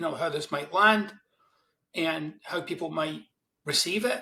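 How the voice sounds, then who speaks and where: A man with a Glaswegian accent talks in a high pitch and a bright, sharp tone. He keeps a moderate pace with ordinary pitch variation. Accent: Glaswegian Scottish. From Scotland, Glasgow East End. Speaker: self-help author. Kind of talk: interview conversation.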